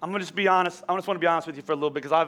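A man speaks in a raised, projected voice with a bright, sharp tone and an animated delivery. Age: 40s. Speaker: pastor. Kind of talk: sermon. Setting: church.

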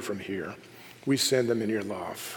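A man with a plain, everyday voice talks at a fairly slow pace with ordinary pitch variation. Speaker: pastor. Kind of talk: sermon and worship leading; fervent prayer, intimate and pleading, spoken aloud to God. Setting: church. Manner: earnest, heartfelt, reverent.

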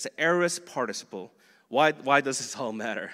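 A man with a bright, sharp tone and lively intonation at a moderate pace. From Boston area, Korean-American church community. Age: 40s. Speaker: pastor. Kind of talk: sermon. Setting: church. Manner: halting.

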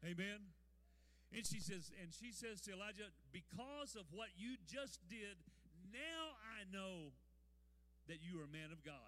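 With a raised, projected voice, a man speaks at a high pitch and a fairly slow pace, leaving long, frequent pauses. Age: 70s. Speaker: pastor. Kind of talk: sermon. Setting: church. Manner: animated.

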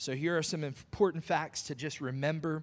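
Fairly high in pitch, a man talks at a moderate pace in an unremarkable speaking voice with fairly even intonation. The recording is very clean, with a silent background. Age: 40s. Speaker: pastor. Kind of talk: sermon.

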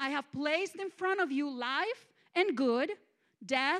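A woman with a Mexican accent talks at a very slow pace, her pitch high and her intonation lively. The sound is dry and close, with no echo. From Mexico, small town. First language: Spanish. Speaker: guest preacher. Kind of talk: sermon. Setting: church.

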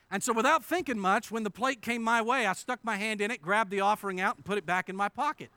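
A man with an American accent speaks at a very fast pace with hardly any pauses, in a raised, projected voice that is high-pitched for a man. His tone is bright and sharp, his pitch variation is ordinary, and the very clean recording has a silent background and a dry, close sound with no echo. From western Pennsylvania, Indiana PA. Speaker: pastor. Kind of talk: sermon. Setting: church.

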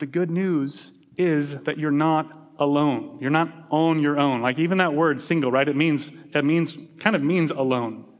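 In a room with audible echo, a man speaks at a moderate pace with a fairly high pitch and fairly even intonation. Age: 40s. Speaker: pastor. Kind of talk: sermon. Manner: halting, with many repetitions.

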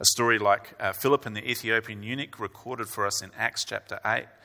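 A man's medium-pitched voice with a bright, sharp tone and fairly even intonation, on a very clean recording with a silent background. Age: 40s. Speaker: preacher. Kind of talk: sermon. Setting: church.

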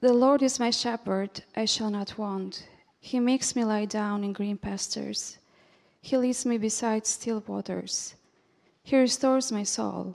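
A woman's plain, everyday voice, fairly high in pitch, at a fairly slow pace with fairly even intonation. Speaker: scripture reader. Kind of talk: reading aloud. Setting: church.

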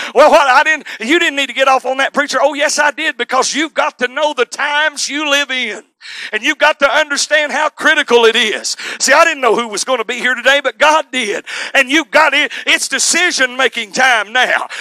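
A man speaks in a raised, projected voice at an extremely high pitch, fairly quickly and with fairly even intonation. The sound is dry and close, with no echo. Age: 40s. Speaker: preacher. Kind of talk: sermon. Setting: church. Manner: loud.

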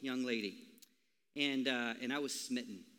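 A man talks with an American accent and a bright, sharp tone. The recording is very clean, with a silent background. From Minnesota. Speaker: pastor. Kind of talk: sermon. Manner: casual.

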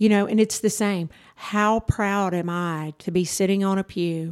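A woman speaks with a Texan accent, the sound dry and close with no echo. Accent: Texan Southern US. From Texas (rural, North Zulch area). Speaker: church youth director. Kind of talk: testimony. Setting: studio.

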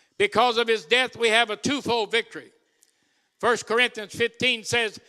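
A raised, projected voice with a bright, sharp tone and an animated delivery comes through in dry, close sound with no echo. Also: man. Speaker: visiting preacher. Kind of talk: sermon, testimony-filled preaching. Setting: church with congregation. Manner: animated, jovial, rousing call-and-response preacher.

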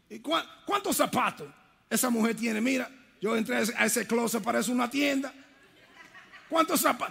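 At a moderate pace, a man with an extremely high pitch and a bright, sharp tone talks with lively intonation in an animated tone, leaving long, frequent pauses. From Brooklyn, New York, Dominican family. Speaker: preacher, retired army veteran. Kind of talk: sermon. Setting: church with congregation.

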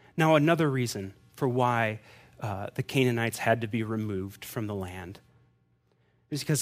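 Over music in the background, a man with a medium-pitched voice speaks at a moderate pace with lively intonation. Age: 30s. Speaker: pastor. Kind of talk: sermon.

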